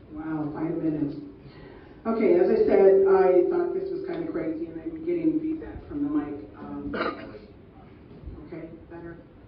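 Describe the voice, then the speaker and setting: Against audible room echo and noticeable background noise, a woman speaks at a moderate pace. Her loudness swings widely, and she takes long, frequent pauses. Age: 60s. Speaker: political candidate. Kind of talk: debate speech.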